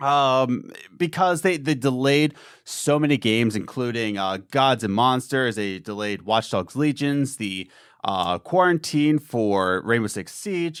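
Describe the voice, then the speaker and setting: A normal speaking voice from a man, medium in pitch, with lively intonation, on a very clean recording with a silent background. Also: fairly slow pace. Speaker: gaming podcast host. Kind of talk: casual chat. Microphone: new Rode Procaster, settings being adjusted.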